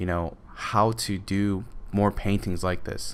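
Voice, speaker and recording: A man mumbles in a fairly low voice. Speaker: digital painting artist and tutor. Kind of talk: tutorial commentary. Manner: mumbling; halting, many fillers.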